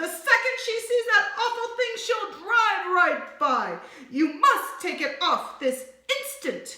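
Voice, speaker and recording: In a put-on character voice, a woman shouts and bellows at an extremely high pitch with very wide pitch swings, a fairly slow pace and slight echo. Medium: read story. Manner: shouting, bellowing.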